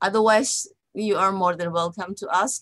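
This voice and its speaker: A woman speaks in an Indonesian accent. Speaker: psychology lecturer. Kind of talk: lecture. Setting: online webinar. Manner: halting, many fillers and repetitions.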